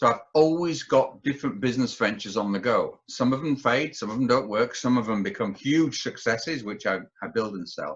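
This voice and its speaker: This man has a Yorkshire accent and a medium pitch. He talks at a fairly quick pace. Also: ordinary pitch variation. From Yorkshire, northern England. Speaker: businessman and entrepreneur, army veteran. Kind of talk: podcast interview.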